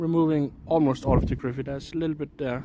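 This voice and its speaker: A man speaks over noticeable background noise. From Denmark. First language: Danish. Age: 30s. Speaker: IRL streamer. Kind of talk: casual live-stream chat. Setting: outdoors. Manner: hesitant, with frequent fillers.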